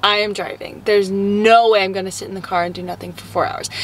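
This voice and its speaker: Recorded dry with no echo over light background noise, a woman speaks at a fairly quick pace. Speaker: vlogger. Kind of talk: casual vlog chat. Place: car. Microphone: phone near.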